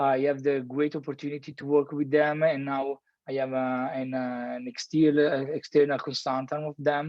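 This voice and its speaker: A man with an Italian accent talks at a moderate pace, with hardly any pauses. His intonation is monotone and flat. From Italy (Milan). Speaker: architect. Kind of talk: lecture. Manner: halting, many fillers and repetitions.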